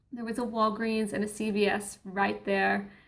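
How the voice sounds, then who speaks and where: A woman's monotone, flat delivery with audible room echo. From Australia. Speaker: travel vlogger, cruise ship crew member. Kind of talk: casual vlog talk to camera. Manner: chatty, informal.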